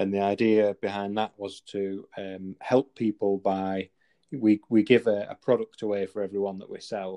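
In a Manchester accent, a man speaks with a dark, mellow tone, fairly low pitch and monotone, flat intonation, in a dry, close sound with no echo. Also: quiet background. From northern England, near Manchester. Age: 20s. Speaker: clothing company founder and former police officer. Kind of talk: interview conversation.

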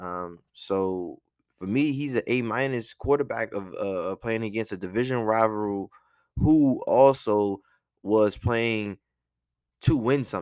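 At a fairly slow pace and with ordinary pitch variation, the voice comes through in a very clean recording with a silent background. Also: man, medium pitch for a man. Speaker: podcast host and sports fan. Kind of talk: casual sports commentary monologue. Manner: casual, conversational, biased fan.

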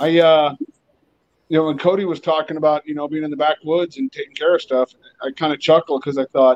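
The sound is dry and close with no echo. It is an unremarkable speaking voice with ordinary pitch variation. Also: man. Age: 40s. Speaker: heavy equipment sales rep. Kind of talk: casual chat.

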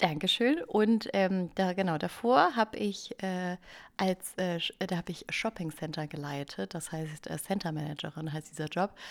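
In a very clean recording with a silent background, a woman with a fairly low pitch, ordinary pitch variation, and a moderate pace has an ordinary speaking voice. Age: 30s. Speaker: podcast co-host, former writer on parental leave. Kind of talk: casual chat.

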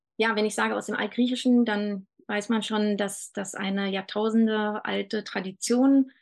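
Here is a woman with a plain, everyday voice and fairly high pitch. She talks at a fairly slow pace with fairly even intonation against a quiet background. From Germany, Berlin. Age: 40s. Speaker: doula. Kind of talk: casual chat.

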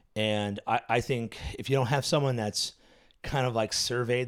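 Over a silent background in a very clean recording, a man with an American accent has an unremarkable speaking voice, a moderate pace and ordinary pitch variation. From US, various states. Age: 40s. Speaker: pastor. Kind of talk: casual chat.

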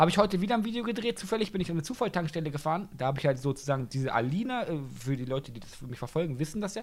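Very fast pace from a man at a fairly high pitch, with very wide pitch swings and big swings in loudness. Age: 20s. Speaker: TikTok creator. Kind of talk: casual chat.

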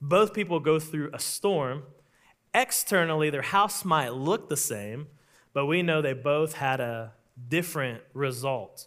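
A man with an American accent speaks slowly-ish at a fairly high pitch with lively intonation. The recording is very clean, with a silent background. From Oklahoma. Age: 30s. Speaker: pastor. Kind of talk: sermon. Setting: church.

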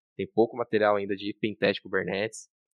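The man's delivery is very fast. His fairly low voice stays monotone and flat. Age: 30s. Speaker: security engineer. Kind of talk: casual chat.

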